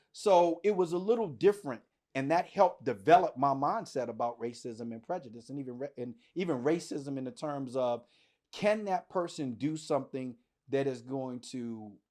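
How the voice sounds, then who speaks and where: A man with an American accent speaks at a moderate pace, his pitch fairly high and his tone dark and mellow. His intonation is lively, his loudness swings widely, and the background is quiet. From US, Washington DC. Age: 50s. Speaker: podcast host. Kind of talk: casual podcast discussion.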